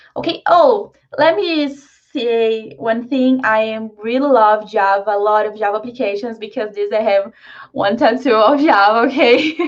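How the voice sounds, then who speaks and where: With a Brazilian Portuguese accent, a woman talks at a moderate pace in a fairly high pitch against a quiet background. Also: ordinary pitch variation. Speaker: software developer and tech meetup speaker. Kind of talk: online tech talk presentation. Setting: live video call meetup.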